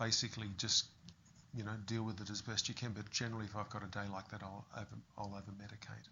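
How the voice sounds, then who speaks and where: A man with an Australian accent speaks very fast in a fairly low, monotone voice with flat intonation. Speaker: fitness business owner with Parkinson's. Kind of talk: interview.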